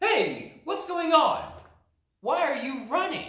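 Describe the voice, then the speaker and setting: A man does a put-on character voice at an extremely high pitch and a fairly slow pace, with slight echo. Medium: read story.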